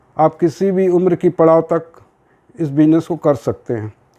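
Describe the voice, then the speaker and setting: The man's voice is fairly high in pitch, with a dark, mellow tone. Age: 60s. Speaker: network marketing promoter. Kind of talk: sales pitch.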